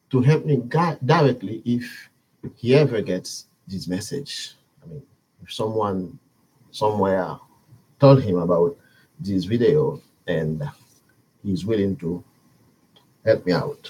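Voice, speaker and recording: A man's somewhat breathy, dark, mellow voice at medium pitch and a fairly slow pace, with very wide pitch swings, big swings in loudness, and long, frequent pauses. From Haiti. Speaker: YouTuber, social commentator. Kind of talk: live video commentary. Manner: halting.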